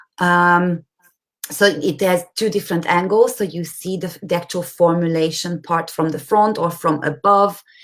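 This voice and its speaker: A woman with an unremarkable speaking voice talks at a moderate pace, with a fairly low pitch and fairly even intonation. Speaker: online course tutor. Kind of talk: live webinar platform walkthrough. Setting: live stream with screen share.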